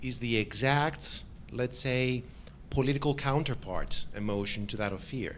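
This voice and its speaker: Medium-pitched male voice at a fairly slow pace, with ordinary pitch variation and audible room echo. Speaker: academic commentator. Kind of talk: academic Q&A discussion. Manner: loud; halting.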